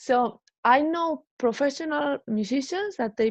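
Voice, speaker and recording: Her pitch swinging very widely, a woman speaks at a fairly quick pace in a dry, close sound with no echo and a quiet background. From Spain. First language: Spanish. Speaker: musician. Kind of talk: interview.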